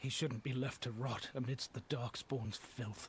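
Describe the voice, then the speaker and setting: Using a put-on character voice that is raspy and medium-pitched, a man talks at a moderate pace over clear background noise. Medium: video game. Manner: earnest, haunted.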